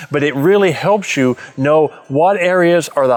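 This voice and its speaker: There is noticeable background noise. Over it, a man speaks with ordinary pitch variation. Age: 70s. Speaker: turfgrass insect expert. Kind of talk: tutorial.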